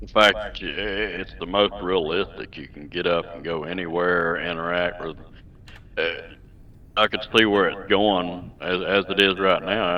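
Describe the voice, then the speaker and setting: A man with a Southern US accent speaks at a fairly slow pace with a very deep, low pitch. His intonation is fairly even, while his loudness swings widely. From Southern California. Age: 50s. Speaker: gamer. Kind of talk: interview. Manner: halting. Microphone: echo.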